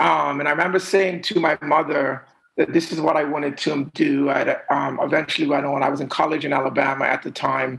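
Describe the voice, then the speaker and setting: A man with an ordinary speaking voice talks at a fairly quick pace with hardly any pauses. His fairly high pitch stays on a fairly even intonation. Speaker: music manager. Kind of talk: casual interview.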